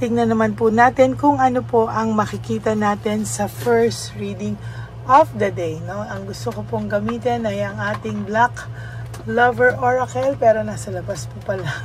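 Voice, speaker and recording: A woman's voice with big swings in loudness, amid noticeable background noise. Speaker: tarot reader. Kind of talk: tarot reading. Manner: polite, gentle; counting slowly.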